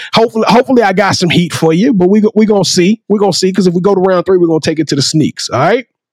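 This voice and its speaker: Very fast, with hardly any pauses and very even loudness, a man with a Southern US accent speaks in an animated tone at a high pitch with ordinary pitch variation, in a dry, close sound with no echo. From Louisiana. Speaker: podcast host. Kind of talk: casual chat.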